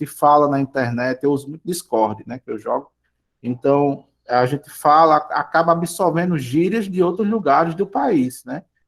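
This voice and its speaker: A man speaks with a northeastern Brazilian accent. His pace is moderate and his intonation lively. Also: fairly high pitch for a man. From Brazilian Northeast. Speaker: school teacher. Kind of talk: online class lecture. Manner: halting, many fillers.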